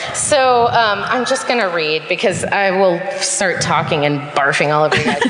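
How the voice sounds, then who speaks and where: With an American accent, a woman speaks at a moderate pace and medium pitch, with lively intonation, very even loudness and hardly any pauses. Noticeable background noise can be heard. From Marin County, Northern California. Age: 30s. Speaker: audience member telling a story. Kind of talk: reading prepared story aloud. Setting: theater stage with live audience.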